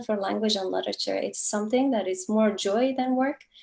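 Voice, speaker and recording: A woman with a Kurdish accent at a fairly quick pace. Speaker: novelist. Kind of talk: author interview.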